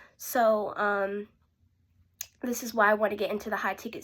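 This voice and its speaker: A woman with an ordinary speaking voice talks at a fairly slow pace and medium pitch on a very clean recording with a silent background. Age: young. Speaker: aspiring sales rep preparing for interview. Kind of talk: interview practice tutorial. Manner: casual, self-correcting.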